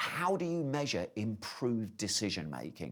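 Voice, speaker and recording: With a British accent, a man keeps a moderate pace while his pitch swings very widely. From UK. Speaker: conference speaker on AI in project management. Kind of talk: conference presentation. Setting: live online conference, venue in Belgium.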